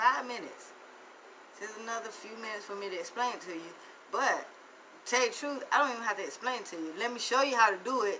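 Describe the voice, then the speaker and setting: A woman with a Southern accent talks at a very fast pace in an animated tone, her fairly high voice showing ordinary pitch variation, big swings in loudness, and long, frequent pauses. Noticeable background noise and audible room echo surround her. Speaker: financial motivational speaker. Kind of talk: live stream monologue.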